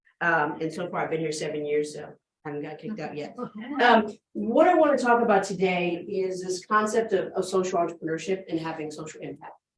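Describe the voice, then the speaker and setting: A woman's fairly low voice with lively intonation and big swings in loudness, in audible room echo. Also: fairly quick pace. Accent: American. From New York City. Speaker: business professor. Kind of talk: keynote lecture. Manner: fast.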